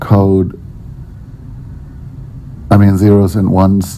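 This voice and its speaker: A man's very deep, low voice in a serious tone, with noticeable background noise. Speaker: artist. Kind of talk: unscripted spoken word piece. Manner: serious yet amusing.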